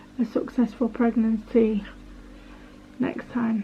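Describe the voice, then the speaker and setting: A monotone, flat intonation at a fairly slow pace. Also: woman. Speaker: vlogger. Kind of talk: personal testimony. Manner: halting, hesitant.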